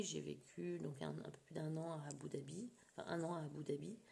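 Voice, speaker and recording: A woman speaks at a fairly slow pace. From France, childhood abroad in the Middle East. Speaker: scrapbooking vlogger. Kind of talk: casual vlog chat. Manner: hesitant, many fillers.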